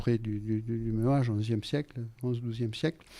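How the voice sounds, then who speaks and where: On a very clean recording with a silent background, a man speaks. His tone is dark and mellow. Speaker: radio guest, writer and former referee. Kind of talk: radio interview. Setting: radio studio. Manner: hesitant, many fillers.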